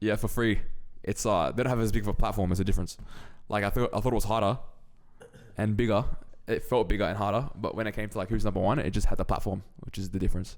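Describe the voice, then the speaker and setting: A man with an Australian accent speaks at a very fast pace, broken by long, frequent pauses. His fairly low pitch stays in fairly even intonation. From Australia (Sydney). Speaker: grappler. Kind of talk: casual chat.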